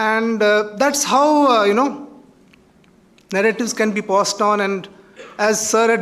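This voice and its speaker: A man's high-pitched voice with a Kashmiri accent. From Kashmir, India. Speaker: author. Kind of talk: invited talk at college event. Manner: halting, many fillers.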